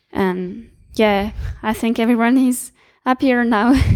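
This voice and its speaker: The speech comes at a very slow pace in a French accent, with fairly even intonation. The recording is very clean with a silent background. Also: woman. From France. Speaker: student network volunteer. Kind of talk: interview. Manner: halting.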